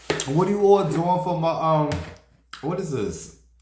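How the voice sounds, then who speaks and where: With audible room echo, a man with a high pitch speaks at a moderate pace in an animated tone with lively intonation. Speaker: celebrity gossip streamer. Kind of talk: casual chat.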